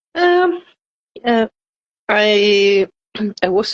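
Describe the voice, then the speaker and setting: A woman with a Scandinavian accent speaks in a dry, close recording with no echo. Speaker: participant in live Q&A. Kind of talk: casual chat. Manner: halting.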